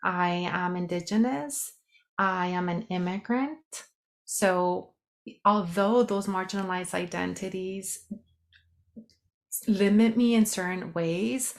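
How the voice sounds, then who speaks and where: Very slow delivery from a woman of medium pitch with a slight Mexican accent, ordinary pitch variation, and long, frequent pauses. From Mexico. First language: Spanish. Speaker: sociologist and health coach. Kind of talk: podcast interview.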